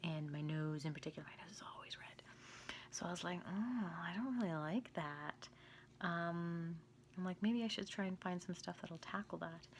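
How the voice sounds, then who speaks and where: The voice is quiet and somewhat breathy, moving at a moderate pace with ordinary pitch variation and big swings in loudness. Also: woman. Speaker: skincare vlogger. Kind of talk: product review. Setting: home, at night. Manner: quiet, hushed; casual, filler-heavy.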